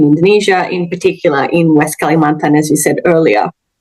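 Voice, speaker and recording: With an Australian accent, a woman talks at a fairly quick pace in a fairly low pitch with ordinary pitch variation. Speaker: linguistics academic. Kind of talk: interview. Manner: hesitant, many fillers.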